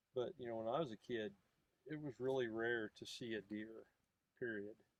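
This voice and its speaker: A man's medium-pitched voice in a rural Missouri accent, at a moderate pace with ordinary pitch variation. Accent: Midwestern US, rural Missouri. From northwestern Missouri. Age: 60s. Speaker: conservationist. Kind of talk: casual chat. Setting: outdoors.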